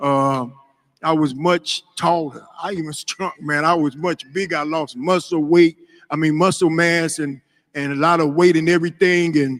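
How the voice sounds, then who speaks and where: This man has a fairly high pitch and fairly even intonation at a moderate pace. The sound is dry and close with no echo. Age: 60s. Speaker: ex gang member. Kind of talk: testimony. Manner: emotional.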